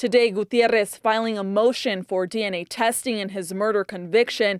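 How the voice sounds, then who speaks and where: At a moderate pace, a woman with an unremarkable speaking voice talks at a medium pitch with ordinary pitch variation, the sound dry and close with no echo. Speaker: TV news reporter and anchor. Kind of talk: TV news report.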